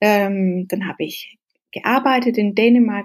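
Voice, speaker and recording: A woman speaks with a Danish accent at a fairly slow pace. Her fairly high pitch keeps a fairly even intonation. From Denmark, then rural Norway from age 12. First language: Danish (speaking German). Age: 30s. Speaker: social entrepreneur. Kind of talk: interview. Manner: halting, hesitant.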